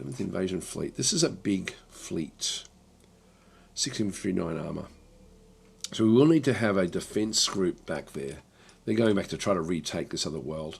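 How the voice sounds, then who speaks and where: At a moderate pace, a man with a very deep, low voice and vocal fry swings very widely in pitch, leaving long, frequent pauses. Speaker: video game streamer. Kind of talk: live gameplay commentary. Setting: livestream. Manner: casual, hesitant with fillers.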